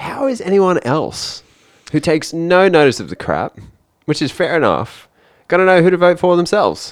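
A man's high-pitched voice at a moderate pace, with ordinary pitch variation, on a very clean recording with a silent background. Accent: Australian. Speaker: accountant and podcast co-host. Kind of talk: casual chat. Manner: reading news items aloud.

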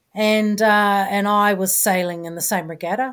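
In a New Zealand accent, a woman speaks at a moderate pace with fairly even intonation. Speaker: former ocean racing sailor. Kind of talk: interview. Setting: video call.

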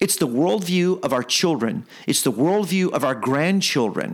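At a moderate pace, a man speaks with a fairly high pitch, a passionate tone and lively intonation.

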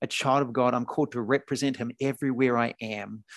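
A man with a New Zealand accent talks fairly quickly at a medium pitch, recorded dry and close with no echo over a quiet background. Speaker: podcast host and faith-at-work business leader. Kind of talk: interview conversation.

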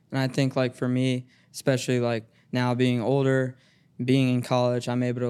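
The speaker talks at a fairly quick pace with a Midwestern American accent. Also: man. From Cincinnati, Ohio (east side). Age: 20s. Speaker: college basketball team manager. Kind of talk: casual chat.

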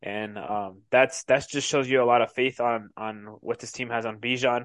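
A man with an American accent and an ordinary speaking voice talks at a medium pitch with fairly even intonation over a quiet background. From Colorado. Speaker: sports podcast co-host. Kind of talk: casual chat.

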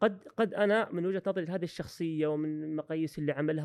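A man at a fairly quick pace, dry and close with no echo, against a quiet background. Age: 30s. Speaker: university professor and coach. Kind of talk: podcast interview.

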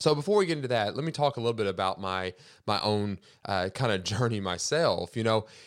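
A man with a normal speaking voice talks at a fairly low pitch and a fairly quick pace, with lively intonation. The recording is very clean, with a silent background. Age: 30s. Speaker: podcast host. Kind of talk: solo monologue podcast.

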